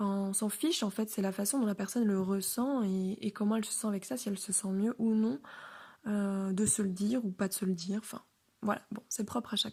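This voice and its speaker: A woman's somewhat breathy, dark, mellow voice at medium pitch, fairly quick in pace and fairly even in intonation, in a very clean recording with a silent background. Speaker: podcaster. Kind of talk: personal monologue. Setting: at home, alone. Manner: calm, composed; hesitant, many fillers.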